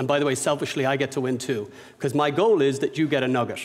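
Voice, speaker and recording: Against noticeable background noise, a man with an Irish accent speaks at a very fast pace with a fairly high pitch and ordinary pitch variation. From Ireland, Dublin. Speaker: business owner and speaker. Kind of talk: lecture. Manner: unscripted, conversational.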